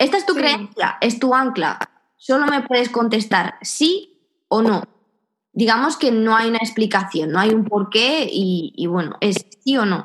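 This woman has a normal speaking voice and a fairly high pitch. She talks at a fairly slow pace with lively intonation and very even loudness. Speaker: podcast host. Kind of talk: casual chat.

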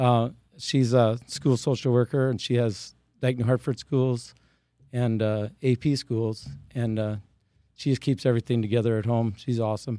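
A man's medium-pitched voice in an American accent, dark and mellow in tone, with fairly even intonation at a moderate pace on a very clean recording with a silent background. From Iowa, US Midwest. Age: 50s. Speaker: retiring teacher and farmer. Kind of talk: interview.

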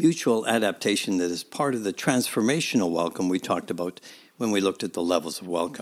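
Recorded very cleanly against a silent background, a man with a Canadian accent uses an unremarkable speaking voice at a fairly low pitch with lively intonation. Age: 60s. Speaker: podcast host and church minister. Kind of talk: reflective scripted narration.

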